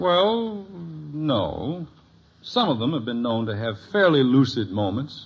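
In a put-on character voice with vocal fry, a man speaks slowly at a medium pitch, swinging his pitch widely, with audible room echo around him.

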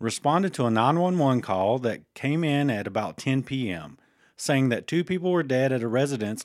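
The recording is very clean, with a silent background, as a man speaks at medium pitch and a moderate pace. He has an ordinary speaking voice with lively intonation. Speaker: podcast co-host. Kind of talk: casual banter. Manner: joking, playful.

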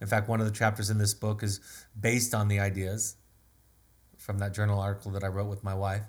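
A man's very fast, somewhat breathy speech, fairly low in pitch and monotone and flat, broken by long, frequent pauses. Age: 50s. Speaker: family therapist and author. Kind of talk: solo webinar talk.

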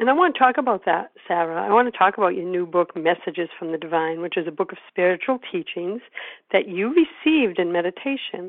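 In a normal speaking voice, a woman talks at a medium pitch and a fairly quick pace. Her intonation is lively. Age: 50s. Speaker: podcast host and publisher. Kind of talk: interview.

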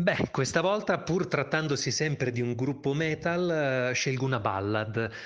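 Here a man has an ordinary speaking voice, speaking at a fairly slow pace with ordinary pitch variation. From Italy, Bologna. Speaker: voice actor and author. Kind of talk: interview.

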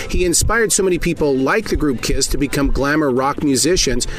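Noticeable background noise sits under fairly quick speech in an American accent. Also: man. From Montana. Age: 50s. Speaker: radio host. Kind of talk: interview; scripted narration.

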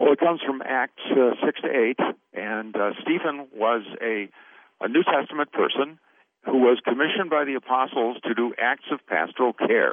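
A man talks at a moderate pace with ordinary pitch variation in an unremarkable speaking voice. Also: medium pitch for a man. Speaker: pastor and lay caregiver trainer. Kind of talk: interview.

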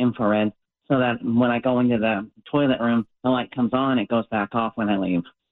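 Using a normal speaking voice, a man talks at a medium pitch with fairly even intonation. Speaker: caller. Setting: phone call.

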